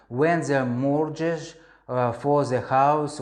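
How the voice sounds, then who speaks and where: Fairly even intonation in a Russian accent. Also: man. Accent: Russian accent, non-native English. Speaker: crypto investor vlogger. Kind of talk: personal story monologue. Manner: halting, many fillers.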